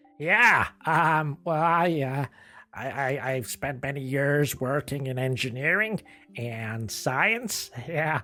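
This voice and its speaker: A put-on character voice from a man, fairly high in pitch and very slow, with faint music in the background. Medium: comedy sketch. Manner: hesitant, stammering, filler-heavy.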